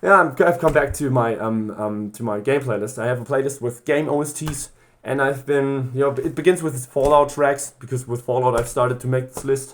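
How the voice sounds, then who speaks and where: A man at medium pitch, fairly quick in pace, with ordinary pitch variation and hardly any pauses. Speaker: gaming vlogger. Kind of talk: spontaneous casual monologue. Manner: halting, many false starts and fillers; loud.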